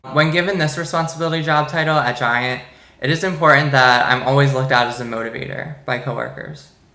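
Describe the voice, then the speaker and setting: In an American accent, a man with a fairly high pitch talks at a very fast pace amid noticeable background noise and audible room echo. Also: ordinary pitch variation. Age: 20s. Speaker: business student. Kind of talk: class presentation monologue. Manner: casual with hesitations.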